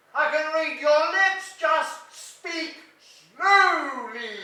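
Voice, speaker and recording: A woman uses a put-on character voice at an extremely high pitch. She talks at a very slow pace, with a slight echo. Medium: short film. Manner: loud, slightly too slow.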